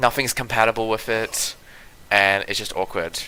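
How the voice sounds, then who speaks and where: A man's bright, sharp tone at fairly low pitch. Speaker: gaming streamer. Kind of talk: live gameplay stream chat. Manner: stumbling, repeats words; animated, frustrated.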